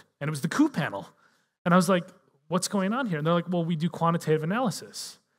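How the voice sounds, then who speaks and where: A man's fairly high voice with an American accent. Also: quiet background. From US Midwest (Minnesota). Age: 30s. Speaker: political scientist and author; guest. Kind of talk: live interview on stage. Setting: stage with audience. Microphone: headset.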